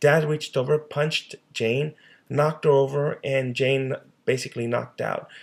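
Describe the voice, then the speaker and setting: A man's fairly high, somewhat breathy voice at a moderate pace, in a monotone, flat intonation. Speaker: social worker. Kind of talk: presentation. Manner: halting.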